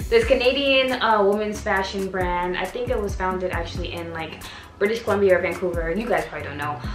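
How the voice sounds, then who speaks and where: Over clear background music, a woman speaks very fast with audible room echo. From Canada. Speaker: fashion YouTuber. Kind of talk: casual talk to camera. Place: home room. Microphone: camera far.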